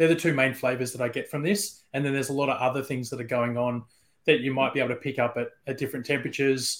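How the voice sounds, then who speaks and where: On a very clean recording with a silent background, a man with an Australian accent speaks at a fairly high pitch. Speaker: whisky brand ambassador. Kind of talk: casual chat.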